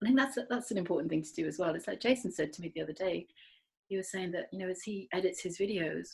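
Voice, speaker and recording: Excited and somewhat breathy, a woman with medium pitch talks at a very fast pace, showing ordinary pitch variation and big swings in loudness. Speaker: podcast co-host. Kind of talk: casual chat. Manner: fast, excited.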